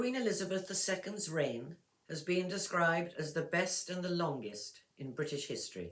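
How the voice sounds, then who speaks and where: With an English accent, a woman speaks at a moderate pace in a fairly low pitch, her intonation lively. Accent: clear English. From England. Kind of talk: text read-aloud for pronunciation practice. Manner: clear, measured.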